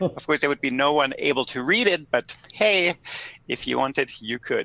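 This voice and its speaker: A man with a German accent speaks at a moderate pace in a fairly high, bright, sharp tone with lively intonation, the sound dry and close with no echo. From Germany. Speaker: political scientist. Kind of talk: podcast interview.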